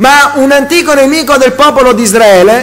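A man's extremely high-pitched, fairly bright voice at a moderate pace, with ordinary pitch variation and audible room echo.

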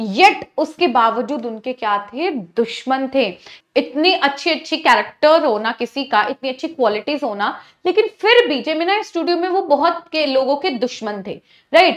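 Over a quiet background, the voice moves at a fairly slow pace with very wide pitch swings. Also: woman, high pitch for a woman. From India. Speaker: teacher. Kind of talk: lecture. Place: studio.

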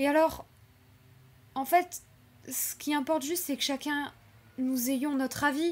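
A woman with a nervous tone speaks at a high pitch and a moderate pace. Her intonation stays fairly even. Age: 20s. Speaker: YouTuber and animation student; channel creator. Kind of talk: unscripted personal vlog. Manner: hesitant, with filler words and nervous laughs. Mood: earnest, reflective. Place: home room. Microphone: webcam.

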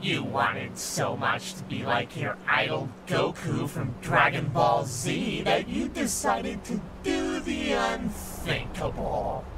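A man performs a put-on character voice with hardly any pauses. Loud background noise fills the clip. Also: fairly slow pace. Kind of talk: horror movie villain speech. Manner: ominous, slow, accusing.

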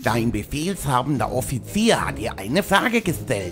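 With clear music in the background, a man speaks at a moderate pace in a put-on character voice. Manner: snooty, disdainful.

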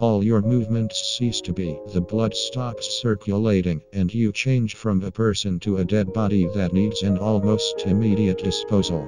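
Using a put-on character voice, a man talks at a fairly low pitch and moderate pace with hardly any pauses over clear music in the background. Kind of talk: crude comic parody dubbing. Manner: flat, cold, hostile; somber monologue about death.

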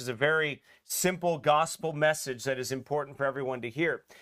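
Moderate-paced speech from a man with fairly even intonation, over a quiet background. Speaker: pastor. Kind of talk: sermon. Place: church. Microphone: podium.

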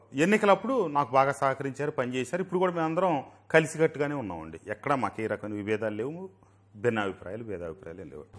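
Loudness rises and falls sharply as this man speaks, his pitch swinging very widely. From Andhra Pradesh. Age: 50s. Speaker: politician; politician interviewee. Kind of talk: interview. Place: studio. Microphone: lapel.

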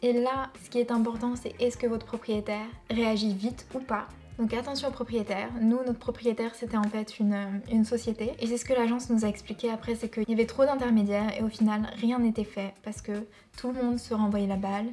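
Faint music plays in the background. A woman talks at a fairly quick pace with a fairly high pitch. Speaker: YouTuber. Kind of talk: storytelling. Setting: home video. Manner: animated; conversational. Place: home room.

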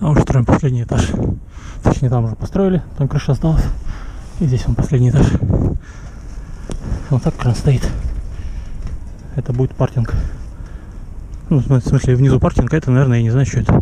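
A man's voice sounds dry with no echo, over loud background noise. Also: ordinary pitch variation. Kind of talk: casual vlog commentary. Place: open country. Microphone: phone near.

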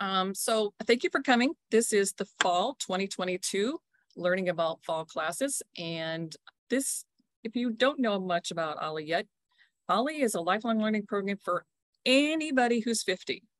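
A woman speaks at a moderate pace with lively intonation. The recording is dry with no echo, in a quiet background. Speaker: program director hosting meeting. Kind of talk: meeting welcome talk. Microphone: video call.

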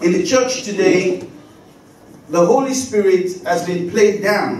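Over light background noise and audible room echo, a man with a high pitch speaks very slowly with ordinary pitch variation. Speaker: preacher. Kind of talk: sermon. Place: church.

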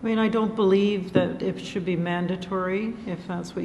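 The speaker is a woman with a fairly low pitch. She talks at a moderate pace with fairly even intonation.

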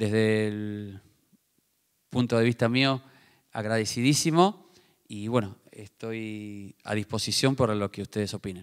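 A man's speech with a Rioplatense accent, fairly even intonation and long, frequent pauses, over a quiet background. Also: fairly low pitch for a man, fairly slow pace. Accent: Argentine Spanish (rioplatense). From Argentina. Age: 50s. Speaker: tennis coach for the blind, book author; tennis coach for the blind. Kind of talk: book presentation talk. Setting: theater with live audience. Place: stage. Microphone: handheld.

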